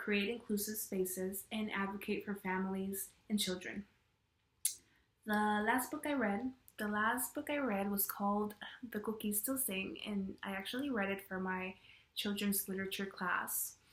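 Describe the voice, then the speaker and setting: In a Spanish accent, a woman speaks at medium pitch and a moderate pace with fairly even intonation. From Mexican-American, US. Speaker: education student. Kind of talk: class video presentation.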